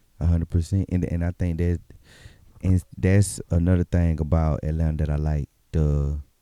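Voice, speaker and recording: A man with a Southern US accent speaks in a dark, mellow tone at a very deep, low pitch and a moderate pace. His intonation is fairly even, and the sound is dry and close with no echo. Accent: Southern US (Georgia). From Albany, Georgia. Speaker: independent rapper. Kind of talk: casual chat. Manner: halting.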